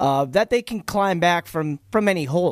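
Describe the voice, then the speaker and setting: A man with a high pitch and an American accent, lively intonation and a moderate pace. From Boston area. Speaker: fill-in sports radio host. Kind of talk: sports talk radio.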